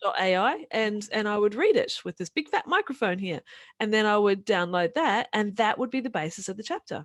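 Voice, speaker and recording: A woman with a New Zealand accent talks at a fairly quick pace and fairly high pitch with lively intonation, in a very clean recording with a silent background and a dry, close sound with no echo. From New Zealand, rural. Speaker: author and podcaster. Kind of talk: interview. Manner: fast.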